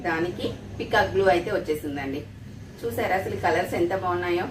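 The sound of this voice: A woman's fairly low voice at a fast pace, with audible room echo. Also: ordinary pitch variation.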